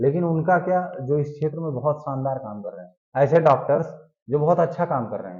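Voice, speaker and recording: Amid audible room echo, a man of fairly high pitch speaks at a moderate pace, somewhat breathy, with ordinary pitch variation and big swings in loudness. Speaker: current affairs teacher for exam aspirants. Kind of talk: lecture.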